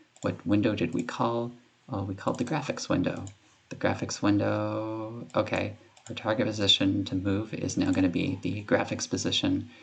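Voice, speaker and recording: Noticeable background noise sits behind the voice. The speech moves at a moderate pace. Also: man. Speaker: game developer. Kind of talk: screen-recorded coding tutorial. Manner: casual, hesitant with fillers.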